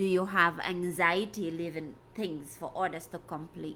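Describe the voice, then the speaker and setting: A woman speaks with a West African accent at a fairly slow pace. Her pitch is fairly low and her tone bright and sharp. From Gambia, West Africa. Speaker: life coach. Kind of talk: live stream talk. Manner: conversational, repetitive.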